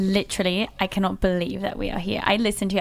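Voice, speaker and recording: The delivery is very fast, with fairly even intonation. Noticeable background noise runs underneath. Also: woman. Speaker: podcast guest.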